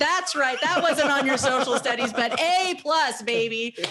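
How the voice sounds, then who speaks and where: A woman at a fairly quick pace with very wide pitch swings, over noticeable background noise. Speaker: podcast host. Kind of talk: casual chat. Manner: loud; animated.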